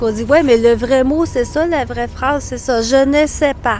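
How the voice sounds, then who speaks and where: Against noticeable background noise, a woman talks at a high pitch and a moderate pace. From New Brunswick, Canada (Edmundston). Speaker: Quebec French teacher. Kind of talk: casual interview chat.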